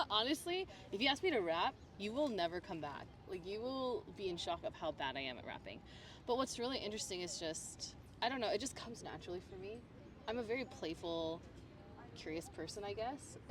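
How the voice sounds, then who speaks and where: The voice has a Midwestern US accent. Its pitch swings very widely. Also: woman, medium pitch for a woman. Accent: General American, Midwestern. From US Midwest (Michigan). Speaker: interviewee. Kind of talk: casual interview chat. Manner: animated.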